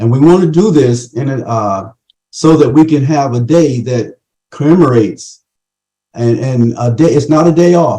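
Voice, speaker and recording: At a moderate pace, a man speaks with a somewhat breathy, dark, mellow tone, a fairly high pitch and ordinary pitch variation. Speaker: committee chairman. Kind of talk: conference remarks.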